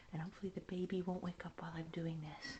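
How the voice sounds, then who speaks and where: Fairly low in pitch, a woman speaks in a somewhat breathy voice with fairly even intonation. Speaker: vlogger. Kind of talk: casual walking tour narration. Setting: outdoors in cold winter. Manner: hurried; whispering.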